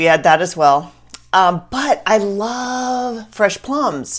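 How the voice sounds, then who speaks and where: Her animated tone and very wide pitch swings mark a woman with a Southern US accent on a very clean recording with a silent background. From US South. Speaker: Bible study teacher. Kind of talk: Bible teaching talk.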